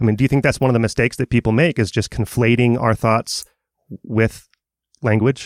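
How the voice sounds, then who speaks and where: An unremarkable speaking voice from a man, medium in pitch, fairly quick and fairly even in intonation, on a very clean, dry, close recording with no echo and a silent background. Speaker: podcast host. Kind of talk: interview.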